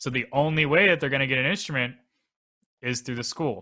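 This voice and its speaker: A bright, sharp male voice, very cleanly recorded against a silent background. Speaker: student teacher. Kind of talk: panel discussion. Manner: loud; halting, many fillers.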